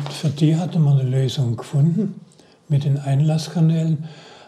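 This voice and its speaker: Against audible room echo, a man with a fairly high pitch and a dark, mellow tone speaks at a moderate pace with fairly even intonation. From Baden-Württemberg, Heilbronn district. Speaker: retired automotive engine engineer. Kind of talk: interview storytelling. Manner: halting with repetitions.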